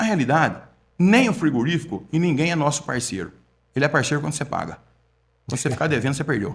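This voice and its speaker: The speech comes at a very fast pace yet with long, frequent pauses. The voice is somewhat breathy. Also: man, fairly high pitch for a man. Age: 60s. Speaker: meat and supermarket management consultant. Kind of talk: podcast interview. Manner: conversational, repetitive.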